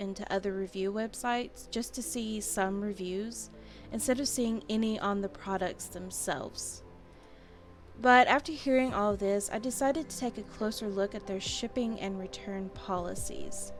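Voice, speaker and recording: With music in the background, a woman speaks at a medium pitch and a moderate pace, showing ordinary pitch variation. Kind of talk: casual review talk to camera. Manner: stuttering, some mispronouncing.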